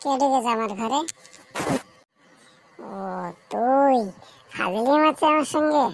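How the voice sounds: A cartoonish character voice at a fairly slow pace, with ordinary pitch variation and big swings in loudness. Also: woman, high pitch for a woman.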